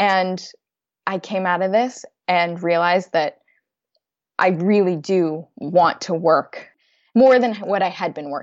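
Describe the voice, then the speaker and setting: A woman with an American accent talks at a medium pitch and a fairly slow pace, with ordinary pitch variation and long, frequent pauses. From US West Coast, San Francisco Bay Area. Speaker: financial expert. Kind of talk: interview.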